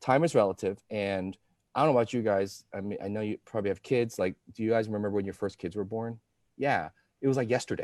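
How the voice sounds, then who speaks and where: Fairly low-pitched, a man talks at a very fast pace in an animated tone with ordinary pitch variation. The sound is dry and close, with no echo. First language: not English. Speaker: chiropractic practice coach. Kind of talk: live video interview. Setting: Facebook Live video call.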